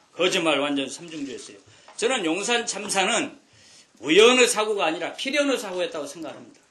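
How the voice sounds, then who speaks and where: With noticeable background noise behind him, a man speaks at a fairly quick pace in an animated tone and a high pitch. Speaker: politician. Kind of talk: political speech. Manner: fast.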